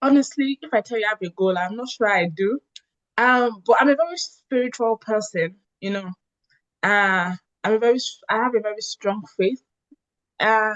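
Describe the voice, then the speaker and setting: A woman speaks at a moderate pace in a fairly high voice with lively intonation, the sound dry and close with no echo. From Nigeria. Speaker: revenue analyst and immigrant advocate. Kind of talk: interview.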